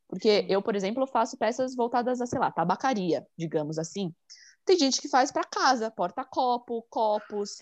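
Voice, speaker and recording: A woman with a fairly high pitch uses a normal speaking voice at a moderate pace, with lively intonation. The sound is dry and close with no echo, over a quiet background. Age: 20s. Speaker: online shop owner, resin artist. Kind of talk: casual interview.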